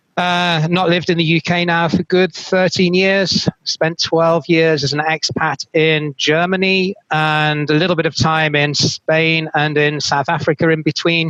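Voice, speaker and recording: In a British accent, a man with a fairly high pitch and a bright, sharp tone speaks fairly slowly in a flat monotone, at very even loudness, with hardly any pauses, in a dry, close recording with no echo. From UK. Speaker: moderator, procurement consultant. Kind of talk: webinar panel moderation. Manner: hesitant fillers.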